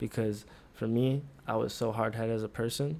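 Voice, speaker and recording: This man has a dark, mellow tone and a medium pitch. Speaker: podcast co-host, college student. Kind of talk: casual chat.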